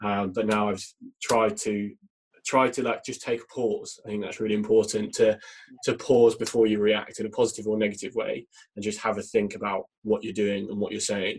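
The man's pitch is fairly low, with a slightly husky edge and little pitch movement. He keeps a moderate pace.

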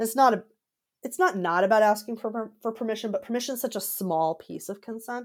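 Lively intonation at a very fast pace on a very clean recording with a silent background. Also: woman. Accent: American. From US South, Georgia. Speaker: coach. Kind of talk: interview.

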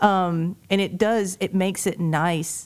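A woman speaks in a Southern US accent at a fairly slow pace. The recording is very clean with a silent background. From Georgia, US South. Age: 30s. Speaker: podcast host. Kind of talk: interview.

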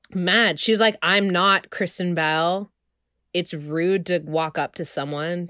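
A woman's fairly low voice with an American accent and a bright, sharp tone, at a very slow pace. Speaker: comedian and director. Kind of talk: casual comedic banter.

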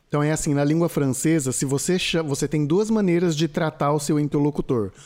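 A man's fairly quick, fairly high-pitched speech, dark and mellow in tone, with ordinary pitch variation. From Brazil. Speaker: podcast host. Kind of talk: casual chat.

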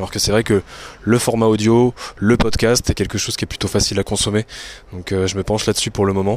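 Talking at a very fast pace, a man with a fairly low pitch keeps a monotone, flat intonation. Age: 30s. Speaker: fitness coach and podcaster. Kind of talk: solo monologue recorded on phone. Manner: hesitant, many fillers and repetitions.

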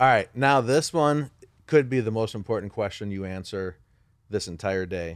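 With a plain, everyday voice, a man speaks at a moderate pace in a fairly low pitch and with lively intonation. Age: 50s. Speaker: podcast host. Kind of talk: casual interview.

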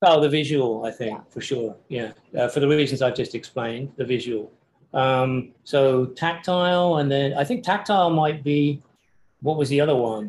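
A man speaks at a moderate pace in a fairly high, somewhat breathy voice. His pitch varies in an ordinary way. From England. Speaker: architecture professor. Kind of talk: casual interview. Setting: video call. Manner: halting, many fillers.

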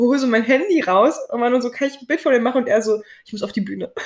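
A woman talks at a very fast pace in a high pitch. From Berlin, Germany. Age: 20s. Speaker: podcast co-host, Instagram creator. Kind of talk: casual chat.

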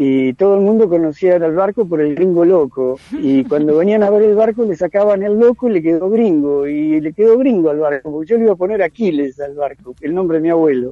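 This man speaks at a fairly quick pace with a high pitch, lively intonation and hardly any pauses. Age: 60s. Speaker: sailor. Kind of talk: interview.

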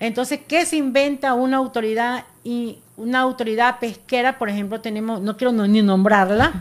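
A woman speaks in a normal speaking voice, fairly high in pitch with ordinary variation. The recording is very clean, with a silent background. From Ecuador, Guayas coast (General Villamil Playas). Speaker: artisanal fishing federation leader. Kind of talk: radio interview.

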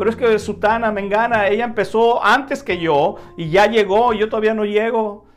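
Noticeable background noise sits behind a man's high-pitched voice. He keeps a moderate pace and fairly even intonation. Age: 50s. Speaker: motivational podcast host and author. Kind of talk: motivational monologue. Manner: halting, with fillers and repetitions.

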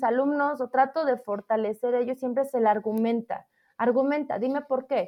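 Her voice high, a woman talks at a moderate pace with ordinary pitch variation. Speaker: math teacher and TikToker. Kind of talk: interview.

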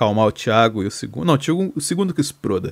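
The speech is very fast, in a very clean recording with a silent background and a dry, close sound with no echo. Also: man. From Minas Gerais, Brazil. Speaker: podcast host. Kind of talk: casual chat.

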